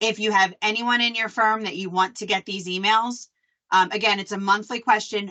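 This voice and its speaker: With a Philadelphia accent, a woman talks at a moderate pace and medium pitch, her intonation fairly even. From Philadelphia, US. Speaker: association staff presenter. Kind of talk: live webinar presentation. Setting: video call.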